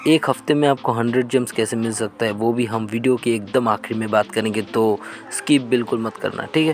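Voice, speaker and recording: With music in the background, a man speaks at a medium pitch, a moderate pace and fairly even intonation. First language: not Hindi (speaking Hindi). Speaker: gaming clan leader. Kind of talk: tutorial.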